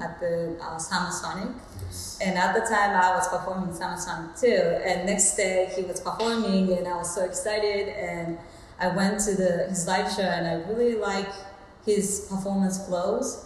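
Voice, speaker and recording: A woman's medium-pitched voice at a moderate pace, with audible room echo and light background noise. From Japan. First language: Japanese. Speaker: soul singer. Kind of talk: interview answer. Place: home room.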